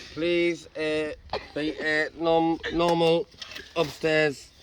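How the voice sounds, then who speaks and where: Noticeable background noise sits behind a man speaking at a fairly high pitch. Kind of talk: mock eulogy. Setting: outdoors.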